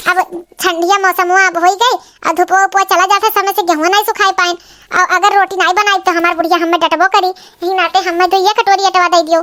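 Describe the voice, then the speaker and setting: In a cartoonish character voice, a woman squeaks at an extremely high pitch with monotone, flat intonation, very even loudness and a moderate pace, in a dry, close sound with no echo. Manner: anxious, wheedling.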